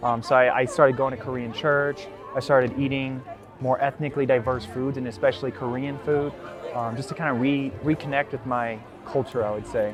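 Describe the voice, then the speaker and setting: Music plays in the background as a man with an American accent talks fairly quickly. His pitch is medium and his intonation fairly even. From US, Colorado (Centennial). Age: 20s. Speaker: interviewee sharing personal story. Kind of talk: personal testimony. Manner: hesitant, many fillers.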